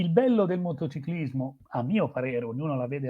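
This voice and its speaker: Here a man is speaking. His intonation is lively. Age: 60s. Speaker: motorsport journalist. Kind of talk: interview. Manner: halting, many fillers.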